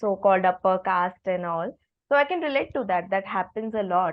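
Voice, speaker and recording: A woman speaks at a medium pitch with a Marathi accent. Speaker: podcast host. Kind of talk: podcast interview.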